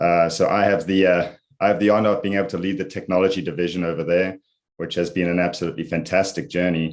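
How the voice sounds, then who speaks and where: In a South African accent, a man with a very deep, low pitch speaks at a fairly quick pace with fairly even intonation over a quiet background. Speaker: IT executive. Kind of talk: interview.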